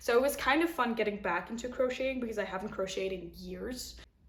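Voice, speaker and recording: Through noticeable background noise and audible room echo, a woman talks at a very fast pace with ordinary pitch variation. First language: not English. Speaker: knitting podcaster. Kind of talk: casual chat. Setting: home kitchen.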